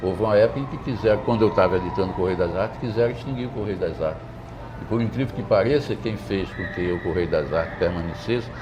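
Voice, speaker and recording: A man speaks at a very fast pace in a fairly low voice with ordinary pitch variation. There is audible room echo and noticeable background noise. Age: 70s. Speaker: poet and retired literature professor. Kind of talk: interview. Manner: hesitant, repeats words.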